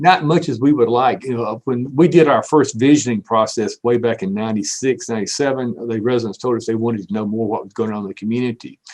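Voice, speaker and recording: A very fast delivery in a Southern US accent, with hardly any pauses, big swings in loudness and ordinary pitch variation. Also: man, medium pitch for a man. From US South. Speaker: city manager. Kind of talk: panel discussion.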